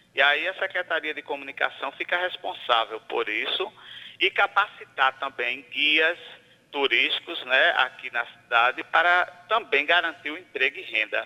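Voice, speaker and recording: A man with a fairly high pitch speaks at a moderate pace with ordinary pitch variation. His is a plain, everyday voice. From Santa Rita, Paraíba, Brazil. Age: 40s. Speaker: mayoral candidate and teacher. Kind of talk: radio interview; campaign appeal to voters.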